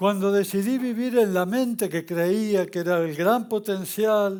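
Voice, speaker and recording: A high-pitched man at a fairly slow pace, in a very clean recording with a silent background. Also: fairly even intonation. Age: 70s. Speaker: spiritual teacher. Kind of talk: spiritual talk. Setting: stage with audience.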